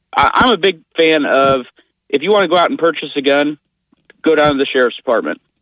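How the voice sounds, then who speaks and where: This man has a plain, everyday voice with a fairly high pitch. His loudness stays very even, and his pitch varies in an ordinary way. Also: fairly quick pace. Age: 20s. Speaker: radio caller. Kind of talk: call-in opinion. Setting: phone call.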